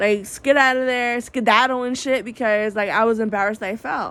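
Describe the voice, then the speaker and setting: Soft-spoken and high in pitch, a woman talks with an American accent. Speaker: vlogger. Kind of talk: casual monologue vlog. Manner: naturally soft-spoken; projecting voice, upbeat.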